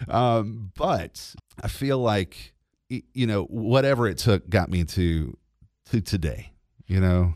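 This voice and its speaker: Here a man with a Southern US accent speaks very slowly at a fairly low pitch. His intonation is lively, and the recording is very clean with a silent background. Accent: Southern US (Georgia). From US South, Georgia (LaGrange). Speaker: radio host. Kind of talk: testimony.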